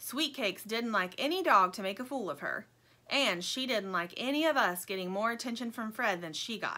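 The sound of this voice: Lively intonation in an unforced reading voice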